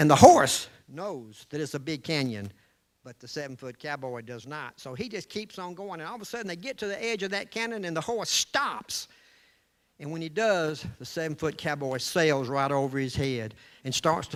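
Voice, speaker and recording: A fairly high-pitched man with a Southern US accent, lively intonation, a moderate pace and big swings in loudness, in a very clean recording with a silent background. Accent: Southern US (Georgia). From US South, Georgia (Columbus). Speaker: storyteller, salesman. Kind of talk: storytelling to a live audience. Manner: animated, gestures with hands.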